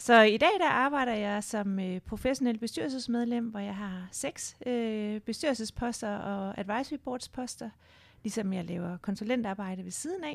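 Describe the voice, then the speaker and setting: A normal speaking voice talks at a fairly slow pace with ordinary pitch variation and big swings in loudness. The recording is very clean with a silent background. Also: woman, fairly high pitch for a woman. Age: 40s. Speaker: board member and career change entrepreneur. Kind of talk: interview conversation. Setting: studio.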